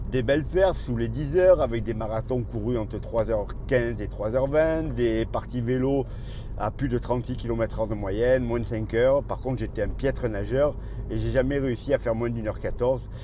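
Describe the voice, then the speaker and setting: A man at a fairly quick pace with audible room echo. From southern France, Marseille. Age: 60s. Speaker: running coach and YouTuber. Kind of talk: casual vlog monologue. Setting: in a car while driving.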